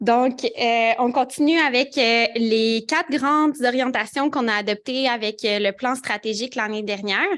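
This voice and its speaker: A woman's unremarkable speaking voice at a moderate pace, with ordinary pitch variation over a quiet background. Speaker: director of pedestrian advocacy group. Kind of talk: annual general meeting presentation. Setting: meeting room with online participants.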